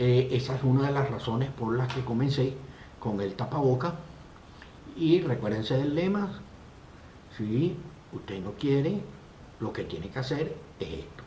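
Pausing long and often at a fairly slow pace, a man speaks at medium pitch with lively intonation amid audible room echo. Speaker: live stream host. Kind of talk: casual chat.

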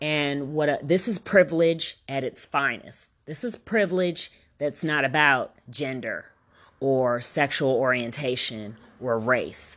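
A woman's very deep, low voice, animated in tone, at a fairly slow pace against a quiet background. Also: lively intonation. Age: 40s. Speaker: podcast host and health coach. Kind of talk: casual monologue.

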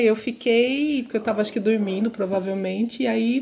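Noticeable background noise is present. Through it, a woman talks at a moderate pace. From interior of São Paulo state, Brazil. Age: 50s. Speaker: professor. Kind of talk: interview.

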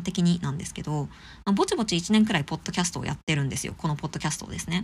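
A woman talks at a very fast pace with a fairly low pitch and ordinary pitch variation. Her voice is somewhat breathy, on a very clean recording with a silent background. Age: 30s. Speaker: podcast host, art enthusiast. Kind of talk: casual solo podcast talk about an exhibition. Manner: casual, with many fillers.

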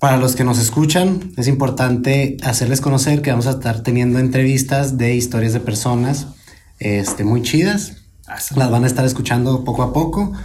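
A man speaks at a medium pitch and moderate pace in a dark, mellow, somewhat breathy tone, with ordinary pitch variation, very even loudness and audible room echo. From northern Mexico. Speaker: podcast host. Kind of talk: casual panel discussion.

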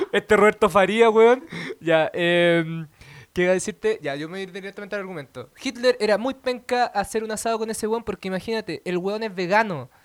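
In a Chilean accent, a man speaks at a fairly quick pace. His pitch is high, with ordinary variation. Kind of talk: comedic debate; casual chat.

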